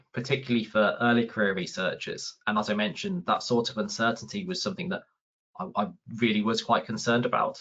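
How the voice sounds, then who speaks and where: A man with a Birmingham accent talks at a very fast pace. His medium-pitched voice swings very widely up and down. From England, Birmingham. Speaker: research facilitator. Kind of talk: webinar talk. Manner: halting, many repeated words.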